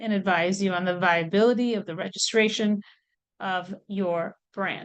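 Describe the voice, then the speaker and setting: This woman has an unremarkable speaking voice at a medium pitch with ordinary pitch variation. She talks at a moderate pace against a quiet background. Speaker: legal expert on trademarks. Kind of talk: webinar presentation.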